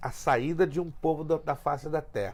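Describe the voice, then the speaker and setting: Fairly high male voice with ordinary pitch variation, delivered at a moderate pace. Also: very clean recording, silent background. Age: 60s. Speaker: pastor. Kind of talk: teaching talk in podcast interview. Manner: emphatic.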